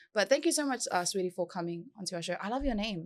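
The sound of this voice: A woman speaks fast at a medium pitch. Her intonation is lively.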